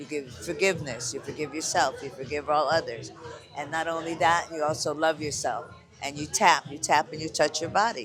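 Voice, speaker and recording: Over music in the background, a man with a fairly high pitch talks at a fairly quick pace with fairly even intonation and big swings in loudness. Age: 70s. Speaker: hand healer and vendor. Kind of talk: casual chat.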